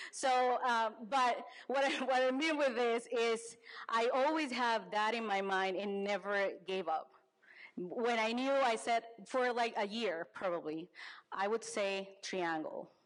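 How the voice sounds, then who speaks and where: In a Spanish accent, a woman talks at a fairly slow pace with a fairly high pitch and ordinary pitch variation. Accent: Spanish accent, non-native English. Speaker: business advisor. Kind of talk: conference talk. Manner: halting, frequent self-corrections.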